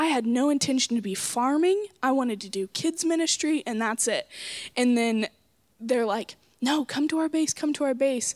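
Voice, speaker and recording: A woman with an American accent talks at a moderate pace and a high pitch with lively intonation. The sound is dry and close, with no echo. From Oklahoma, Coweta. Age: young. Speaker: missionary. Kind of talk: casual interview.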